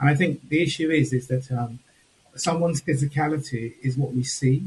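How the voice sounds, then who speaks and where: Somewhat breathy speech with a Home Counties accent and fairly even intonation. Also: man. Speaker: panel speaker. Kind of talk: panel discussion. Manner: measured and controlled.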